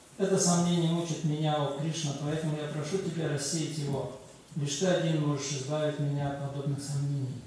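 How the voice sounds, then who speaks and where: The speech comes at a fairly quick pace with monotone, flat intonation. Strong room echo surrounds it, along with light background noise. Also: man. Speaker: lecture interpreter. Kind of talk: reading scripture commentary aloud. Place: hall.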